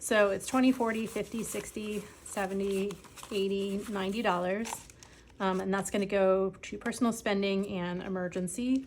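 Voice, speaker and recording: A woman with an American accent talks at a moderate pace in an unremarkable speaking voice, medium in pitch, with fairly even intonation. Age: 40s. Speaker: personal finance vlogger. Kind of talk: casual vlog. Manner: frequent filler ums.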